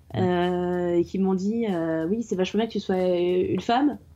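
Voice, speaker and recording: A woman speaks at a medium pitch with a dark, mellow tone. Her pitch varies ordinarily, and her pace is fairly slow. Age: 20s. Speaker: IT consultant. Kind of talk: casual chat.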